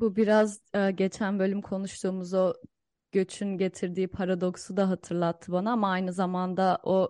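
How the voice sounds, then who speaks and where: A woman of medium pitch against a quiet background. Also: dry, close sound with no echo. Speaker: podcast co-host and academic. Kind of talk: podcast interview.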